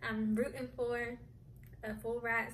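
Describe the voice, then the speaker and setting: Light background noise sits behind a woman talking at a very slow pace. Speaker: vlogger. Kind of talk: casual vlog chat. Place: home room. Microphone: phone near.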